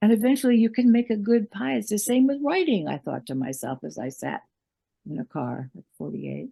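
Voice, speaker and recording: Speaking fairly quickly with an American accent, a woman has a fairly high pitch and very wide pitch swings. Her tone is dark and mellow and somewhat breathy, with a dry, close sound and no echo. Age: 80s+. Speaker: memoirist and writer. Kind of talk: interview. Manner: hesitant, with many fillers.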